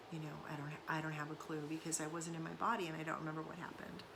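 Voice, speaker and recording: Amid audible room echo, a woman speaks in a very deep, low pitch with a bright, sharp tone and monotone, flat intonation. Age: 50s. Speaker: somatics content creator and author. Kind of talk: casual monologue vlog. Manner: hesitant, many fillers.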